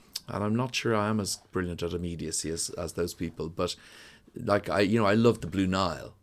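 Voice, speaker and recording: Speaking with a Dublin accent, a man uses a very deep, low pitch, ordinary pitch variation and a fairly quick pace. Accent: Dublin Irish. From Ireland, Dublin (Donnybrook). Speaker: musician and songwriter. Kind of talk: casual interview.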